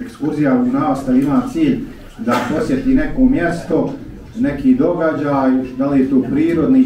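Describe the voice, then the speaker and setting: With audible room echo and light background noise, a man speaks at a moderate pace in a fairly high pitch, his voice making very wide pitch swings. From Bosnia. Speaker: imam. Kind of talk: formal speech. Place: church.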